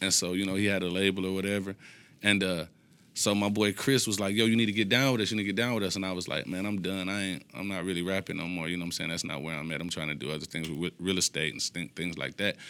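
Over a silent background on a very clean recording, a man with a very deep, low pitch and a bright, sharp tone talks very fast with ordinary pitch variation. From Detroit, east side. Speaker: rapper. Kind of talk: casual chat.

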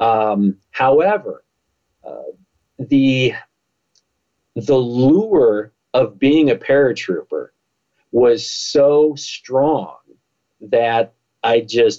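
A man with an American accent, with music in the background. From United States. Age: 50s. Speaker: motivational speaker and former police officer. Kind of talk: interview.

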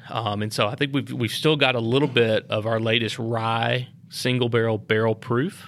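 A man with a medium-pitched voice talks at a moderate speed. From Lynchburg, Tennessee. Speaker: master distiller. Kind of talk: casual interview. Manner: laid back, low-key.

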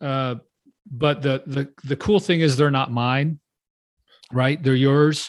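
Speaking at a very slow pace with long, frequent pauses, a man with a fairly high-pitched voice keeps his intonation fairly even on a very clean recording with a silent background. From Texas. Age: 60s. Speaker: pastor and nonprofit consultant. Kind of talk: interview conversation.

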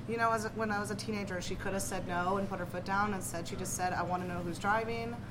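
A woman talks at a very fast pace with an American accent. Noticeable background noise and audible room echo fill the recording. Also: medium pitch for a woman, ordinary pitch variation, hardly any pauses. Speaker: poet and university instructor. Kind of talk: casual chat. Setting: restaurant.

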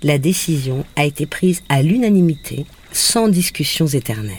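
A woman with a very deep, low pitch speaks at a fairly slow pace, her voice making very wide pitch swings. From Brittany, Saint-Malo. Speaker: radio columnist. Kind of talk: scripted narration. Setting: on location in Guadeloupe.

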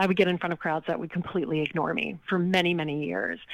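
A woman's ordinary speaking voice, fairly low in pitch, with an American accent and ordinary pitch variation. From Louisiana, US South (Lake Charles). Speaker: charity auctioneer and author. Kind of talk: interview.

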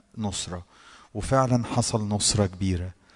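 With an Egyptian accent, the speaker goes at a fairly slow pace with fairly even intonation. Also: man. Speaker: worship leader. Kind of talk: devotional exhortation.

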